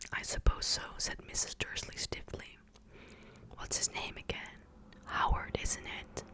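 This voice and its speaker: Whispering, a woman speaks at a fairly slow pace. Noticeable background noise is present. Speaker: ASMR creator. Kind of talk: whispered ASMR book reading. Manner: whispered, soft, close-mic.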